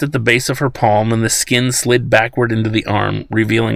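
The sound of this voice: A reading voice, unforced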